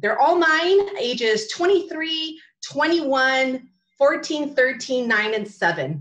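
In a Californian accent, the speech unfolds at a very slow pace with lively intonation. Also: woman, high pitch for a woman. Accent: Californian American. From California, San Fernando Valley. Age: 40s. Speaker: social media coach. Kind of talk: talk. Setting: video call.

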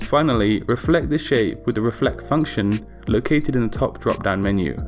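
Over music in the background, a man speaks at a moderate pace, medium in pitch, with ordinary pitch variation. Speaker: graphic design tutor. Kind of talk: software tutorial narration.

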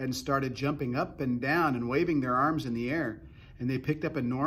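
The intonation stays fairly even in this plain reading aloud.

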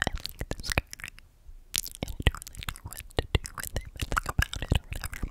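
Soft-spoken whispering. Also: woman. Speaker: ASMR creator. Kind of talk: soft-spoken ASMR chat. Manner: soft close-mic inaudible whisper. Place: home room. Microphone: studio mic.

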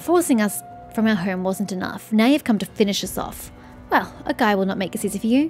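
A woman puts on a character voice at a medium pitch and a fairly quick pace. Clear music plays in the background, and hissing can be heard. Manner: hostile, resentful, hissing.

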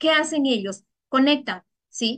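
A woman at a very slow pace, high in pitch, with lively intonation. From Ecuador. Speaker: network marketing distributor. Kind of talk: sales pitch.

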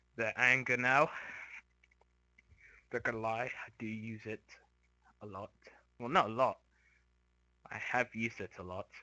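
A man at a medium pitch and moderate pace, with fairly even intonation, long, frequent pauses and a quiet background. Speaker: gamer streamer. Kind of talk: casual gaming commentary. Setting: headset mic far from mouth. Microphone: headset.

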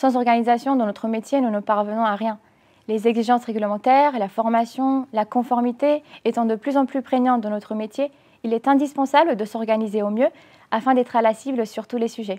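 A woman with a dark, mellow tone speaks fairly quickly at a fairly high pitch, her intonation fairly even against a quiet background. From Romania. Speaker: bank customer adviser. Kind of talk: corporate testimonial. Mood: calm, warm, composed. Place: office. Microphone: lapel.

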